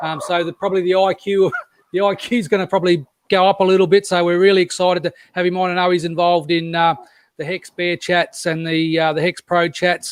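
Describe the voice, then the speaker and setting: A man with an Australian accent talks at a very fast pace. His high voice stays monotone and flat. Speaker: crypto live-stream host. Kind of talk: casual live-stream chat. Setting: live online stream. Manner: halting, many fillers and repeats.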